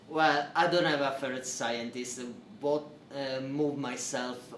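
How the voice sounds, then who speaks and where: A man with an Italian accent at a moderate pace, with audible room echo and noticeable background noise. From Italy. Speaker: PhD researcher. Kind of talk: interview. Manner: halting, many fillers.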